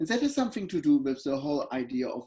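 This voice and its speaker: His pace is fairly quick. The man talks with a German accent. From Germany, Berlin. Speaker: professor. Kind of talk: interview. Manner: halting.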